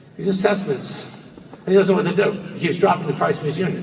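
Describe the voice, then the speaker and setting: With an American accent, a man speaks in a space with audible room echo and noticeable background noise. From New Jersey. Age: 60s. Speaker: real estate broker. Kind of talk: conference presentation. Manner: animated.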